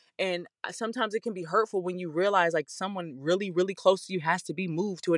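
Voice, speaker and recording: Very fast and animated, the speech has ordinary pitch variation, with a dry, close sound, no echo and a quiet background. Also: woman. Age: 30s. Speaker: podcast host. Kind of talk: casual monologue. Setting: in a car.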